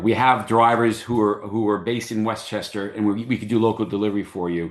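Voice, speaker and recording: Against a quiet background, a man with a fairly low voice talks at a fairly quick pace. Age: 60s. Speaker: business owner presenting a workshop. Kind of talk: online workshop presentation. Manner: halting, many fillers and repeated words.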